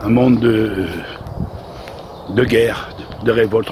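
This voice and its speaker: Medium-pitched male speech against noticeable background noise. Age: 60s. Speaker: lay preacher. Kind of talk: sermon. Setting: outdoors. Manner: halting.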